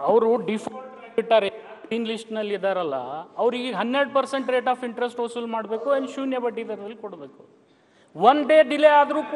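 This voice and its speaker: A man speaks at an extremely high pitch with ordinary pitch variation and big swings in loudness over light background noise. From Karnataka. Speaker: legislator. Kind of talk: heated debate. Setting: legislative assembly. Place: hall. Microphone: podium.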